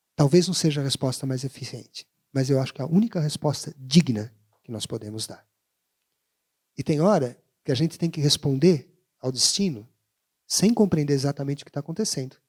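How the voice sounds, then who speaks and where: A man's fairly high, somewhat breathy voice, dry and close with no echo, fairly quick with long, frequent pauses, big swings in loudness and ordinary pitch variation. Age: 60s. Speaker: education professor and panelist. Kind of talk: panel talk.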